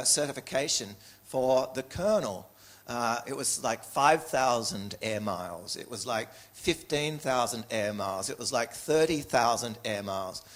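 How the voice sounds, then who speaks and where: With an Australian accent, a man talks at a moderate pace in a medium pitch with ordinary pitch variation. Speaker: speaker telling a personal story.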